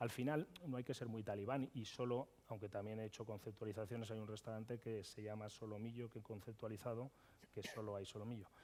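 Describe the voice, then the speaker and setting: A man speaks at a very fast pace. His medium-pitched voice has a dark, mellow tone. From Madrid, Spain. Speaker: chef and restaurateur. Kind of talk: conference panel discussion. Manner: animated, with frequent hesitations.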